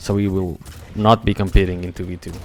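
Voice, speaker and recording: In a Portuguese accent, a man talks at a moderate pace with a fairly low pitch. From Portugal. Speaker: esports commentator. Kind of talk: live commentary. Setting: live stream. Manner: animated.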